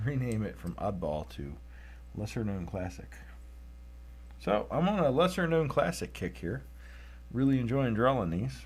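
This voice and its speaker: A man with a fairly low, somewhat breathy voice talks at a moderate pace, his pitch swinging very widely. He takes long, frequent pauses, and room echo is audible. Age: 30s. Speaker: artist drawing tractors. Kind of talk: live-stream drawing commentary. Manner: casual, conversational.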